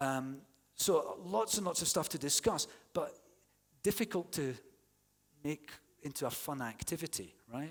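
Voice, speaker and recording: With a Scottish accent, a man talks at a fairly slow pace in a fairly high pitch, his intonation lively and his tone animated, leaving long, frequent pauses. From Scotland. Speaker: university English teaching academic. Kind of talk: conference plenary talk. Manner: conversational, animated.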